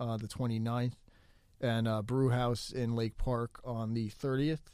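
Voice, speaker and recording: A man speaks in a medium pitch with a dark, mellow tone. His intonation is monotone and flat. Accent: American. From New Jersey. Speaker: comedian and mental health counselor. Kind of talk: casual chat. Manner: halting, many ums and uhs.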